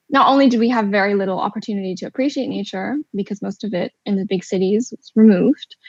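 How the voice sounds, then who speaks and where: Somewhat breathy and fairly high in pitch, a woman talks at a very fast pace with hardly any pauses and big swings in loudness, in a dry, close sound with no echo. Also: ordinary pitch variation. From China, Beijing. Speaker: ornithologist. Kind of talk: panel discussion.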